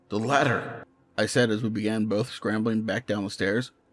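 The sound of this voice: An unforced reading voice is heard throughout.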